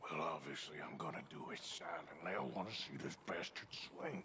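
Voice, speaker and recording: A man does a raspy, put-on character voice at a moderate pace. Clear background noise is heard behind him. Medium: video game. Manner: gruff, dry.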